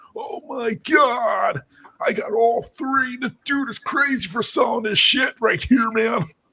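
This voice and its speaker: Shouting in a put-on character voice, a man speaks at a fairly slow pace in an extremely high pitch. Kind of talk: casual, slangy. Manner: excited, gushing.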